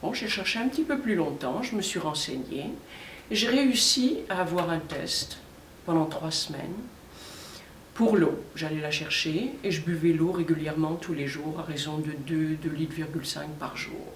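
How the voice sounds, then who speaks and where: A woman talks at a fairly slow pace with lively intonation. Noticeable background noise and audible room echo surround her voice. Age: 60s. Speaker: customer testimonial. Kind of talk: testimony.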